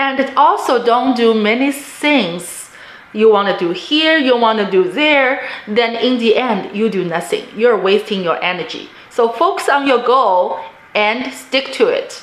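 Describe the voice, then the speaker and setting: With a non-native accent and lively intonation, the speaker goes at a fairly slow pace amid noticeable background noise and audible room echo. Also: woman, fairly high pitch for a woman. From immigrant to the US, non-native English speaker. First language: not English. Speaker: real estate investor, vlogger. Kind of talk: personal story and advice monologue.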